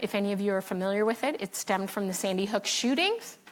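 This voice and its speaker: A woman with an American accent talks while noticeable background noise plays underneath. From Philadelphia, US. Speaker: state education official, panelist. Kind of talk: conference panel talk.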